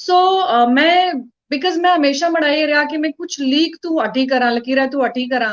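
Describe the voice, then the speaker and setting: Here a woman speaks at a high pitch. Her pitch variation is ordinary. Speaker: actress and author. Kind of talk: interview.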